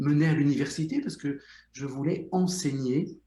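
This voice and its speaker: At a fairly slow pace, a man speaks with a dark, mellow tone, vocal fry and ordinary pitch variation. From Belgium, Brussels. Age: 60s. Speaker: psychotherapist, former surgeon. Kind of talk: interview.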